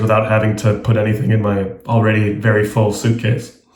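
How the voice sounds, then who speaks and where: With an American accent, a man is heard amid audible room echo and noticeable background noise. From international schools in Asia and Australia. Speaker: travel writer and journalist. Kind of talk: interview.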